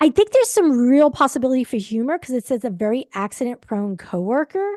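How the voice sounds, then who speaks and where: At a very fast pace, the speaker's dark, mellow tone swings very widely in pitch, captured with a dry, close sound with no echo and a quiet background. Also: woman, high pitch for a woman. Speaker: book talk show co-host. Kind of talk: casual chat. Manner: halting.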